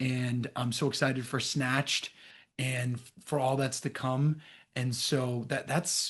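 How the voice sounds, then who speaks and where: Against a quiet background, a man talks at a fairly slow pace in a medium pitch, somewhat breathy, with monotone, flat intonation. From Boston area, US. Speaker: actor. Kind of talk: casual chat.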